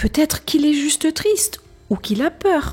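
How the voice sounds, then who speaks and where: Putting on a character voice, a woman speaks high-pitched at a moderate pace over faint music in the background. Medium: read story.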